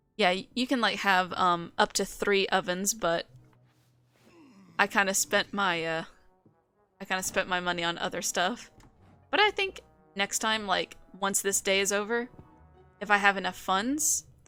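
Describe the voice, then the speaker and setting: With an American accent, a woman speaks at a medium pitch and a moderate pace, her intonation fairly even. Long, frequent pauses break her speech, and music plays in the background. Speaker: vtuber streamer. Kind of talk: live gameplay stream chat.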